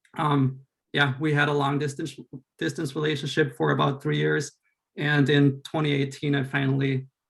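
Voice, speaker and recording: In a German accent, the speaker talks at a moderate pace in a somewhat breathy, monotone, flat voice. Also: man, fairly high pitch for a man. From Austria. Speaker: school board candidate, teacher. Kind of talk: candidate introduction speech.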